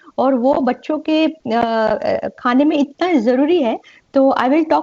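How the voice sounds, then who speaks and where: A woman talks in a high-pitched voice. Her pitch varies in an ordinary way. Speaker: pediatrician. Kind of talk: lecture. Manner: halting.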